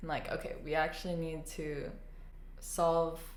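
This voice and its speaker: Over noticeable background noise and audible room echo, a woman with a fairly low pitch speaks at a moderate pace. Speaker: podcast co-host. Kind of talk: casual chat. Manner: loud.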